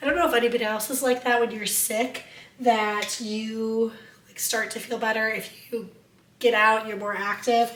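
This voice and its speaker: A woman talks with fairly even intonation against noticeable background noise. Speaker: lifestyle vlogger. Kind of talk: casual vlog talk. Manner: casual, conversational.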